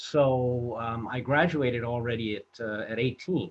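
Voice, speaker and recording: Speaking with an American accent, a man with a somewhat breathy, medium-pitched voice talks at a fairly slow pace. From Los Angeles, US. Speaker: film director and producer. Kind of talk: interview storytelling. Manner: halting, many fillers.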